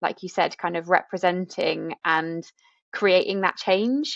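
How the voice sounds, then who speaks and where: With a British accent, a woman speaks at a very slow pace with long, frequent pauses, recorded with a dry, close sound, no echo and a quiet background. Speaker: podcast host. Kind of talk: podcast conversation.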